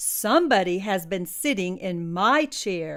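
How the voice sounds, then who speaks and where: In a put-on character voice, a woman growls and rumbles at a medium pitch. She speaks at a fairly slow pace. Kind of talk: bedtime story. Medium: read story. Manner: cross, grumbling.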